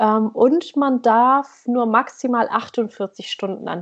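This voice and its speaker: The voice belongs to a woman with a fairly high pitch. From northern Germany, East Frisia. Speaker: blogger, emigrant to Norway. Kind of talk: casual chat.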